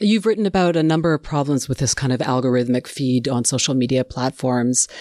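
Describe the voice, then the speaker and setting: A woman with a Canadian accent at a fairly quick pace, lively intonation, a dry, close sound with no echo, and a quiet background. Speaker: radio show host. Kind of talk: scripted narration and interview.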